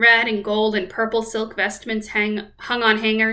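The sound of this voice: This is an unforced reading voice. It is heard on its own.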